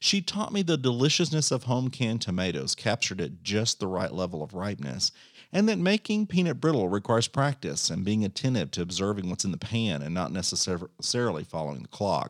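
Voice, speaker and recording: Fairly quick speech with hardly any pauses and very wide pitch swings, in a Texan accent, dry and close with no echo, on a very clean recording with a silent background. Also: man, fairly low pitch for a man. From Central Texas, Bosque County. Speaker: podcast host, amateur home cook. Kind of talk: scripted narration.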